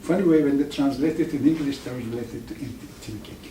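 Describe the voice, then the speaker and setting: With an Iranian accent, a man speaks at a fairly high pitch with ordinary pitch variation, and room echo is audible. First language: Farsi. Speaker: professor. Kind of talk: lecture. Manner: halting, with many restarts.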